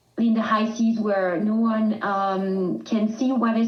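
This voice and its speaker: A woman in a French accent speaks at a fairly slow pace and medium pitch with monotone, flat intonation. Noticeable background noise and audible room echo surround her. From southern France. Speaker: rescue charity communications manager. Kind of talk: podcast interview. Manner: halting.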